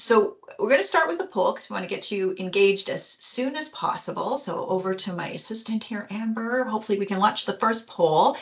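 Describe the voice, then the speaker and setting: Over noticeable background noise, a woman with a fairly high pitch talks at a fairly quick pace with lively intonation and hardly any pauses. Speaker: HR executive and webinar presenter. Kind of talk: webinar presentation. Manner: fast.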